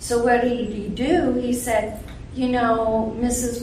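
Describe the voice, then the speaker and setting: With noticeable background noise behind her, a woman speaks at a fairly high pitch. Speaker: flooring professional. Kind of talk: panel discussion. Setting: live convention panel with audience.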